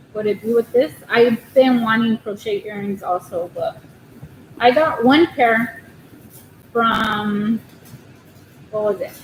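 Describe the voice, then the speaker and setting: Speaking quietly with an American accent, a woman with a fairly high pitch and ordinary pitch variation talks at a very slow pace with long, frequent pauses over noticeable background noise. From Southern California. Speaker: crochet livestreamer. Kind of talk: casual livestream chat. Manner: quiet, shy.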